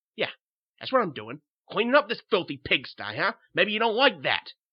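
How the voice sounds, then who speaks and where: The pitch swings very widely in this put-on character voice. Delivery moves at a moderate pace. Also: man, high pitch for a man. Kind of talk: tough-guy slang. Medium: read story. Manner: coarse, sneering.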